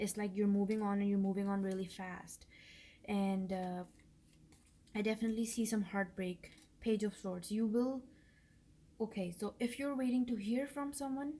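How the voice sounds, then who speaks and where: A woman's medium-pitched, somewhat breathy voice with a dark, mellow tone, fairly even intonation and a moderate pace. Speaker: tarot reader. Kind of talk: tarot reading monologue. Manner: casual, hesitant with fillers.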